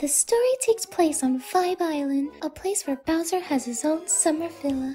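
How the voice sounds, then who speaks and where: Over music in the background, a woman uses a put-on character voice at an extremely high pitch and a moderate pace. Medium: solo performance. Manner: polite, composed.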